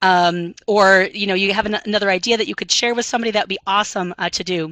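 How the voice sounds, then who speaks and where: In an American accent, a woman speaks with a bright, sharp tone and ordinary pitch variation, recorded with a dry, close sound and no echo. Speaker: math instructor. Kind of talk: webinar presentation. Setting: online webinar. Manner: fast; many filler ums.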